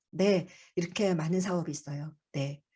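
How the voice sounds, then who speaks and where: Somewhat breathy and dark, mellow in tone, a woman talks at a fairly quick pace. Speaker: childcare support center director presenting. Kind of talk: online briefing presentation. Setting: video call. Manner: fast.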